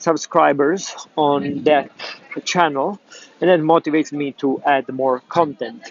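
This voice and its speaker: With an Italian accent, a man talks at a fairly high pitch with ordinary pitch variation, in a dry, close sound with no echo. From Italy. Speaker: pipe tobacco YouTuber. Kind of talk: travel vlog. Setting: outdoors in city. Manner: halting, many fillers.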